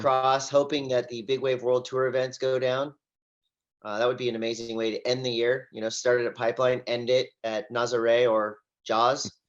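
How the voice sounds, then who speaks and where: An energetic, enthusiastic man with an American accent, medium pitch and a moderate pace. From Southern California. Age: 40s. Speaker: surf commentator and event host. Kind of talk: interview answer.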